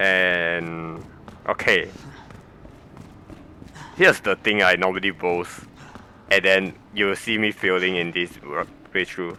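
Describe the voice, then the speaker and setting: Speaking with a non-native accent, a man with a very deep, low pitch talks at a very slow pace in a monotone, flat intonation, leaving long, frequent pauses. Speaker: game guide narrator. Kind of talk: gameplay commentary.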